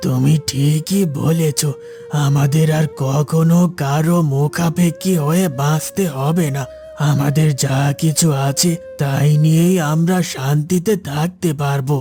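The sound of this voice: A man puts on a cartoonish character voice with a fairly high pitch and fairly even intonation, speaking at a very slow pace over clear music in the background.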